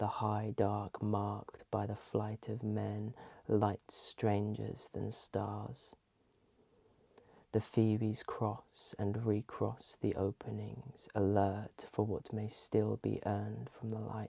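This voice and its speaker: A soft-spoken man at a very slow pace. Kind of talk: ASMR poetry reading. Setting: close-mic binaural recording. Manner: soft-spoken, calming.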